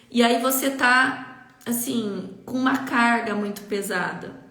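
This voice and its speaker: Very slowly, a woman speaks in a high pitch. Noticeable background noise and audible room echo accompany her. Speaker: leadership coach. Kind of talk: live stream talk. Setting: Instagram live.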